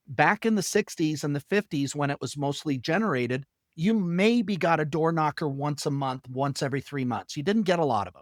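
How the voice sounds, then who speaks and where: A man with an ordinary speaking voice and fairly high pitch, lively intonation, big swings in loudness, a fairly quick pace with hardly any pauses, and a very clean, dry, close recording with a silent background and no echo. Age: 60s. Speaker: sales trainer. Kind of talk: interview.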